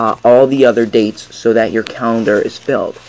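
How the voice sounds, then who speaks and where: Against noticeable background noise, a man with a medium pitch talks at a moderate pace with ordinary pitch variation. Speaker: magic tutorial creator. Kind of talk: tutorial.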